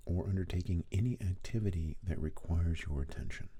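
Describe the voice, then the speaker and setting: Somewhat breathy and dark, mellow in tone, a man with a very deep, low pitch speaks at a fairly quick pace with very wide pitch swings. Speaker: hypnotist. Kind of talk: hypnosis induction.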